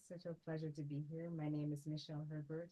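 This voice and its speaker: A soft-spoken woman with a dark, mellow tone at a moderate pace. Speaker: entrepreneur. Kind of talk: casual chat. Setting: studio. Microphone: too quiet at first, then moved closer.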